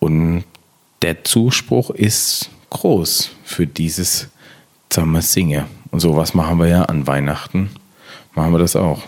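Very deep and low, a man's voice moves at a very slow pace with long, frequent pauses, ordinary pitch variation and very even loudness. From Palatinate, Germany. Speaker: podcast host, communication trainer. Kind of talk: partly scripted podcast talk.

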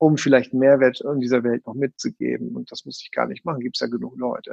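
This man has an ordinary speaking voice, pitched fairly high, with ordinary pitch variation and a fairly quick pace. The sound is dry and close, with no echo. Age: 50s. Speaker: NLP trainer. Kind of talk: casual chat; guided breathing exercise.

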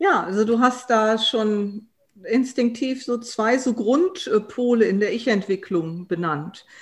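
Her intonation lively, a woman with a fairly high pitch speaks at a very slow pace. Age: 50s. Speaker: transformation consultant and coach. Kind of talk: expert interview.

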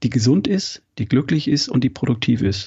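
A man is talking at a moderate pace. His pitch is medium. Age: 50s. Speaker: health coach and former engineer. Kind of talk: interview.

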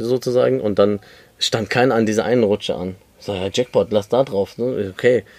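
With an ordinary speaking voice at a fairly low pitch, a man talks at a moderate pace with ordinary pitch variation in a dry, close sound with no echo. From Germany, Lebanese family. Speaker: podcast host. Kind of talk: casual chat. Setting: outdoors on a balcony.

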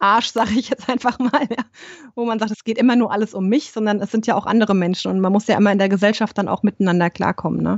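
A woman talks in a plain, everyday voice. Her pitch is medium and her intonation fairly even. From Germany, Rhein-Main area. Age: 30s. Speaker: yoga teacher and holistic coach. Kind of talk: interview.

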